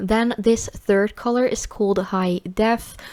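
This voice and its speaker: With a Dutch accent, a woman with a fairly high pitch and a dark, mellow tone speaks at a fairly slow pace with ordinary pitch variation, on a very clean recording with a silent background. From Netherlands. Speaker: nail polish youtuber. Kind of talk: product review voiceover. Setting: recorded voiceover. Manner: hesitant, many fillers.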